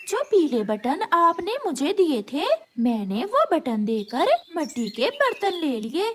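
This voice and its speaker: A woman speaks in a cartoonish character voice, high-pitched and fairly slow, with very wide swings in pitch. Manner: naive, emotional.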